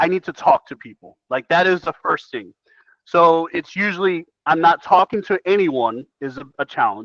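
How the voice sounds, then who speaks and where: A high-pitched male voice, animated in tone, with lively intonation, big swings in loudness and a dry, close sound with no echo. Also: moderate pace. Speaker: real estate coach. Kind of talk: coaching session.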